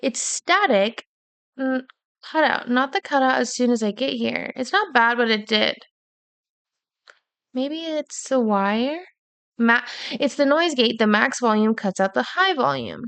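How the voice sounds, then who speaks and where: With an American accent, a woman talks in a high pitch at a fairly slow pace. Her intonation is lively, broken by long, frequent pauses. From US Pacific Northwest, Washington. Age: 20s. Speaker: streamer. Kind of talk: casual chat. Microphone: Blue Yeti mic, cutting out, static.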